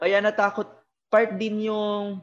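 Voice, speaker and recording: A man speaks against a quiet background. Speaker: podcast host and TikToker. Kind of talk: casual chat.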